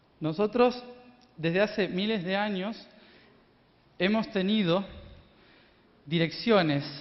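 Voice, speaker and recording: His pitch shifts in an ordinary way as a man speaks rather slowly. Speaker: spiritual speaker. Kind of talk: lecture.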